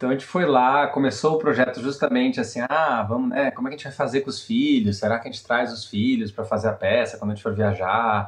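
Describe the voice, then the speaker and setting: A somewhat breathy man at a very fast pace, with hardly any pauses. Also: medium pitch for a man, ordinary pitch variation. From Brazil. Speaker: theatre director. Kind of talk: casual interview.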